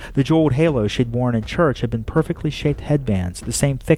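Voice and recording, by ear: Someone reads aloud here in a natural voice.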